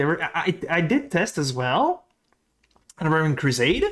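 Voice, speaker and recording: The speaker talks at a fairly slow pace. They speak with a French accent. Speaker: video game streamer. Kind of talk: live stream chat. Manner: casual, animated.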